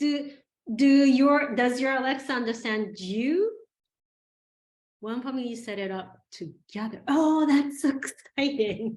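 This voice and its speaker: An animated, high-pitched woman with a slight Japanese accent, fairly slow in pace, with ordinary pitch variation and long, frequent pauses. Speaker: teacher leading a children's AI workshop. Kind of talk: online class for children.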